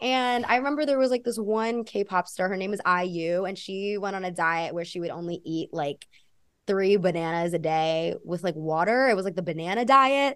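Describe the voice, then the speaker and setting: A woman with a normal speaking voice talks at a moderate pace, her intonation lively. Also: medium pitch for a woman. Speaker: podcast host interviewer. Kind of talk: casual interview chat.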